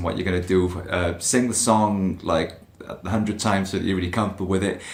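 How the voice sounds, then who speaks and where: With audible echo in the room and noticeable noise behind him, a man speaks fairly quickly. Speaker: singer answering fan questions. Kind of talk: casual Q&A to camera. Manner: fast.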